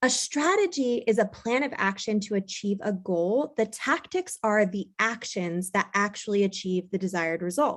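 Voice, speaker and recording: The speaker leaves hardly any pauses and uses ordinary pitch variation. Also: woman, medium pitch for a woman, moderate pace. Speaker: real estate business owner and coach. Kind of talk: conference presentation. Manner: loud.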